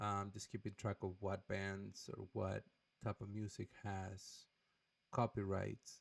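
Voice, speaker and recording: The sound is dry and close, with no echo. A man speaks at a fairly low pitch with a strong non-native accent. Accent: thick foreign accent in English. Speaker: YouTuber, guitar and music channel. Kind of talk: casual vlog channel update. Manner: hesitant, many filler words.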